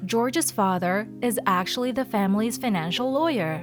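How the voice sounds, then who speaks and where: With music in the background, a woman with a fairly high voice talks at a fairly slow pace, her pitch swinging very widely. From Philippines. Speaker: voice actor. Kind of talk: story narration.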